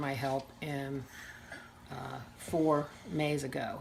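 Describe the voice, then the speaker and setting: Monotone, flat intonation comes through with audible room echo. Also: woman. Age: 60s. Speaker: grandmother raising grandchild, lawyer. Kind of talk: interview testimony.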